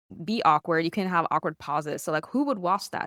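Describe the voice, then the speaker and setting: Her intonation is lively, and the woman speaks with a non-native accent. The recording is very clean with a silent background, and the sound is dry and close with no echo. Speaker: streamer. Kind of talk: interview. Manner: casual, with fillers.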